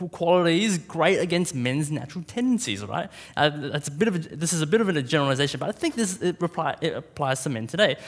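With an Australian accent, a man speaks high-pitched and fairly quickly, his intonation lively and hardly any pauses breaking the flow. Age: 20s. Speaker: preacher. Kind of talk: sermon.

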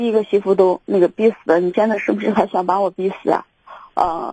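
A woman talks at a fairly quick pace with a medium pitch and fairly even intonation. Her tone is dark and mellow, the sound dry and close with no echo. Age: 30s. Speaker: caller seeking relationship advice. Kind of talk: phone-in advice call. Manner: halting, many fillers.

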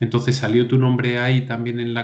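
A man at a medium pitch and a fairly slow pace, with audible room echo. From León province, Spain. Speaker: podcast host. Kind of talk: casual chat.

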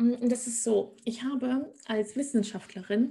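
Dark and mellow in tone, a woman speaks in a somewhat breathy way. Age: 30s. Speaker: stock investor. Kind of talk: podcast interview.

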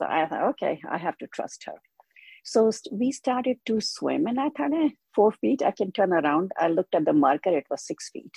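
The woman's fairly high voice has a dark, mellow tone, vocal fry and very wide pitch swings, recorded dry and close with no echo. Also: moderate pace. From India. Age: 70s. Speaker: older adult who took up swimming. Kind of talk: casual interview.

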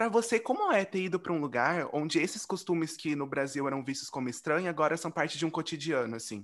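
Over noticeable background noise, a man with a fairly high pitch talks at a very fast pace with lively intonation and hardly any pauses. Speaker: podcast host. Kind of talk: casual chat. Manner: animated.

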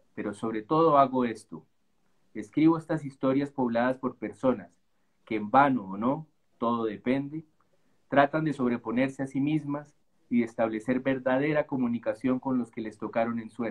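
It is an unremarkable speaking voice. Ordinary pitch variation comes at a moderate pace. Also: man, medium pitch for a man. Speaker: novelist. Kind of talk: reading aloud; casual chat.

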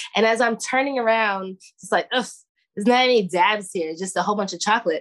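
Talking at a fairly quick pace in a Brooklyn accent, a woman uses a fairly high pitch and ordinary pitch variation. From Brooklyn, New York. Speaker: hash maker and cannabis grower. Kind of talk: interview.

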